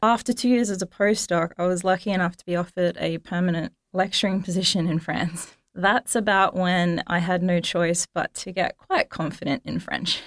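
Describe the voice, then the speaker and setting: With an Australian accent, a woman of medium pitch speaks at a moderate pace with hardly any pauses and fairly even intonation. Her loudness swings widely, and the sound is dry and close with no echo. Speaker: engineering academic. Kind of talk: interview.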